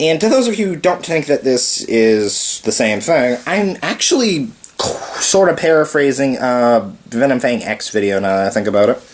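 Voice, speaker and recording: Moderate pace against noticeable background noise. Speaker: video blogger. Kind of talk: casual monologue.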